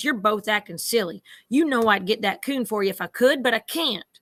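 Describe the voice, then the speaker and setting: A woman's put-on, gruff character voice, fairly high in pitch and fairly quick, on a very clean recording with a silent background. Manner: scolding, firm but fond.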